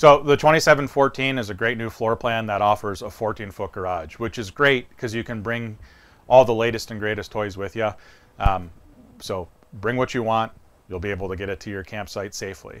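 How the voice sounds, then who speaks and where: A man's fairly low voice at a moderate pace, with ordinary pitch variation and big swings in loudness. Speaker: presenter. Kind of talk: product walkthrough presentation. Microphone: lapel.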